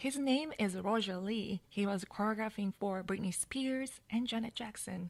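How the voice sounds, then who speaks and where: A woman speaks with a Japanese accent. Her pitch is fairly high. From Japan, Hokkaido. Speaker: dancer and storyteller. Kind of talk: personal storytelling.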